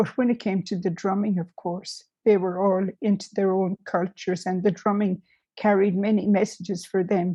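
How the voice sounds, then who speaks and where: A woman talks at a moderate pace with a medium pitch and a dark, mellow tone. The background is quiet. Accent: Irish. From Ireland. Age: old. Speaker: music therapist, nun. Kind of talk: interview answer.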